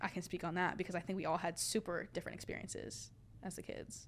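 A woman speaks with an American accent. Her intonation is flat and monotone, with vocal fry. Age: young. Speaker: university student. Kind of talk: casual chat.

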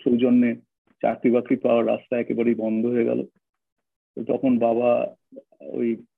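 His intonation stays flat and monotone. The man's pitch is medium. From North Kolkata, India. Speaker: author and former RSS member turned activist. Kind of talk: interview conversation.

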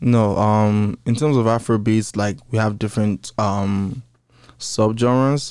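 Very slowly, a man speaks at a fairly low pitch. His intonation stays fairly even. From Nigeria. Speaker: hype man, MC and dancer. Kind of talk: casual interview chat. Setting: studio.

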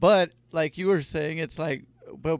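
An ordinary speaking voice from a man, fairly high in pitch, at a moderate pace with ordinary pitch variation and a dry, close sound with no echo. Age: 30s. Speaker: podcast host. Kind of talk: casual chat. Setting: studio.

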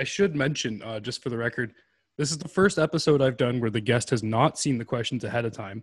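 A man speaks at a very fast pace in a medium pitch, somewhat breathy, with ordinary pitch variation on a very clean recording with a silent background. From Canada. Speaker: podcast host. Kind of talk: casual chat. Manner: animated.

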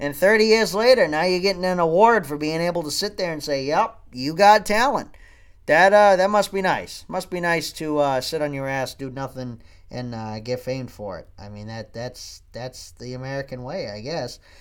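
Big swings in loudness and very wide pitch swings. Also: man, fairly high pitch for a man, moderate pace. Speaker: podcast host. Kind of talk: casual monologue. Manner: animated.

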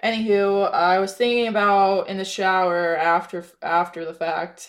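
A woman with an American accent speaks in a normal speaking voice at a fairly slow pace and a medium pitch. The recording is very clean, with a silent background. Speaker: mental health podcast host. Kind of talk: personal monologue.

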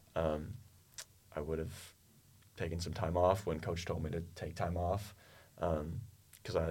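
A man's very deep, low voice in an American accent, fairly slow and fairly even in intonation, with audible room echo. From US, Oklahoma (Tulsa). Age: 20s. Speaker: university student tennis player. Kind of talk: interview.

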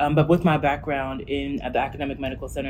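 With audible room echo around her, a woman talks at a very fast pace with an American accent. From New Jersey. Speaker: healthcare startup executive. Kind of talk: interview.

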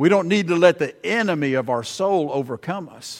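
A man with an Alabama accent on a very clean recording with a silent background. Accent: Southern US (Alabama). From US South, Alabama (Prattville). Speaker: visiting preacher. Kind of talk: sermon.

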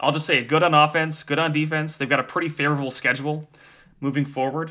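A man with an ordinary speaking voice and fairly high pitch talks at a fairly quick pace in a very clean recording with a silent background. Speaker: sports podcast co-host. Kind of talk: casual chat.

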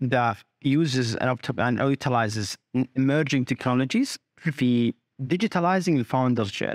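Recorded very cleanly with a silent background and a dry, close sound with no echo, a man of medium pitch talks at a fairly quick pace with ordinary pitch variation, very even loudness, and long, frequent pauses. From Saudi Arabia, teen years in Australia. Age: 30s. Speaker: startup founder. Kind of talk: interview.

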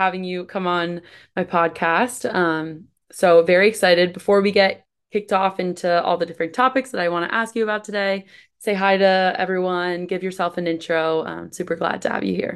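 Against a quiet background, a woman in a normal speaking voice talks at a medium pitch and a fairly quick pace. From US East Coast. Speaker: podcast host. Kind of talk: casual interview; scripted intro.

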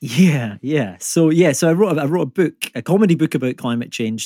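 A man with a Scottish accent, a dark, mellow tone and very wide pitch swings at a moderate pace, in a dry, close sound with no echo. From Scotland. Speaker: climate comedian and environmental economist. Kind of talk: casual conversational, humorous. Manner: joking, humorous.

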